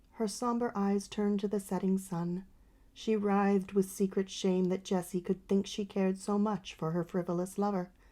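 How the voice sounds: A natural reading voice carries the whole clip.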